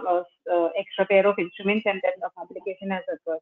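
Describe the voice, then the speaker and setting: With fairly even intonation, a woman's voice sits at a medium pitch. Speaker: trainee doctor, exam candidate. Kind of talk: exam viva practice. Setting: video call. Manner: halting.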